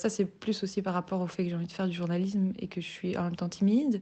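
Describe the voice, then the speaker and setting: A woman speaks very fast at a medium pitch, her tone dark and mellow and her intonation fairly even. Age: 20s. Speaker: university student. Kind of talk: interview testimony.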